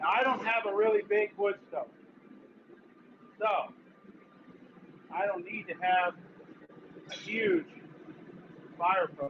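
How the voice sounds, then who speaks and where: A loud man speaks in a high pitch at a fairly slow pace. His intonation is lively, and he leaves long, frequent pauses. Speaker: blacksmith. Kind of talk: live demonstration. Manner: casual.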